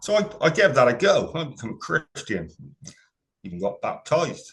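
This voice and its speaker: A man speaks with a Gloucestershire accent. His pace is moderate. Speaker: paranormal investigator. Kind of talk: interview.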